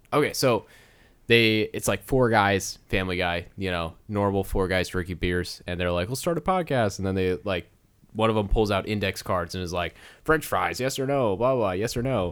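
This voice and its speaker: A plain, everyday voice from a man, fairly low in pitch, with ordinary pitch variation at a moderate pace, in a very clean recording with a silent background. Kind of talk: casual comedy podcast chat. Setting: recording with microphone.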